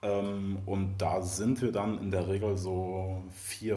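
A man speaks in a fairly low pitch, his tone dark, mellow and somewhat breathy. Audible room echo surrounds his voice. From Mecklenburg-Vorpommern, Germany. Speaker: animal-protection volunteer. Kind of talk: casual interview chat. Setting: music venue backstage before a show.

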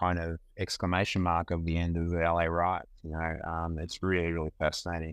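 Delivered at a moderate pace, this voice has an Australian accent and a flat, monotone intonation. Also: man. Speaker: photographer. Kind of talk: casual chat. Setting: video call.

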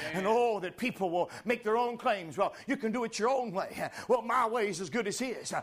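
A man talks in an animated tone at an extremely high pitch, with ordinary pitch variation. His pace is moderate, and background noise is noticeable. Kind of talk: sermon. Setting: church. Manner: animated, forceful pulpit delivery with exclamations and call-and-response; emphatic, urgent, repeating lines for effect.

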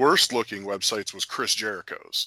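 Recorded very cleanly with a silent background and a dry, close sound with no echo, a man with an American accent has a bright, sharp tone. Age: 30s. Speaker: former pro wrestler and MMA fighter. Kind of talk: casual interview. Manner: halting with frequent fillers.

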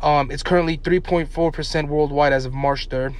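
Noticeable background noise and audible room echo accompany a man speaking fairly quickly. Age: 20s. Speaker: podcast co-host. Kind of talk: casual chat.

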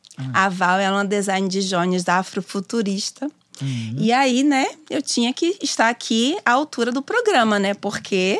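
The recording is dry and close, with no echo. A woman talks at a moderate pace and medium pitch, her voice making very wide pitch swings. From Bahia, Brazil (Simões Filho, near Salvador). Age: 30s. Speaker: doula and lawyer. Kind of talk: casual interview. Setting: studio.

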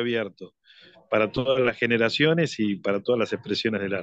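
The speaker is a man at medium pitch. His pace is moderate and his pitch variation ordinary. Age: 60s. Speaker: business owner. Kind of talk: radio interview. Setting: phone line. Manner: halting.

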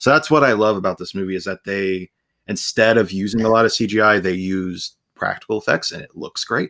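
A man's normal speaking voice, fairly low pitched with ordinary pitch variation, big swings in loudness and a fairly quick pace, sounding dry and close with no echo on a very clean recording with a silent background. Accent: American. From Ohio, US. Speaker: author and book video creator. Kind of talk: casual interview chat.

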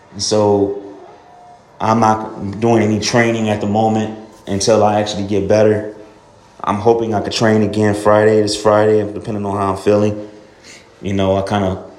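The voice holds a moderate pace with monotone, flat intonation. Noticeable background noise and audible room echo fill the recording. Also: man. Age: 30s. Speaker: fitness podcaster. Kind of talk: casual monologue. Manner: halting, many fillers.

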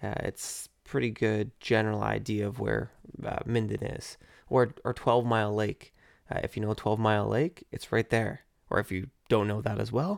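In a very clean recording with a silent background and a dry, close sound without echo, a man with an Ontario accent speaks at a moderate pace. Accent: Canadian (Ontario). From Canada, Ontario (Burlington). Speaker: podcast host. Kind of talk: casual solo podcast monologue with beer tasting.

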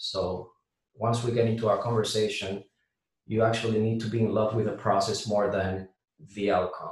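A man speaks at a medium pitch and a moderate pace, in a Puerto Rican accent. His intonation is monotone and flat, and his voice is somewhat breathy. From Puerto Rico. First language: Spanish. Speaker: air traffic controller and real estate investor. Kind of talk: casual interview.

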